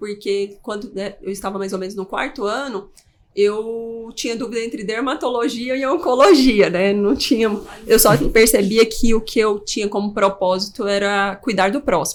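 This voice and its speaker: A woman with an ordinary speaking voice, fairly high in pitch, talks at a moderate pace with ordinary pitch variation. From Brazil, Pará and Goiânia. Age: 30s. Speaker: geriatric doctor. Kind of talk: podcast interview.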